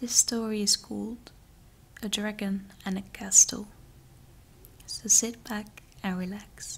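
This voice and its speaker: A soft-spoken woman's voice at medium pitch, flat and monotone, very slow with long, frequent pauses, over noticeable background noise. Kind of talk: fairytale story reading.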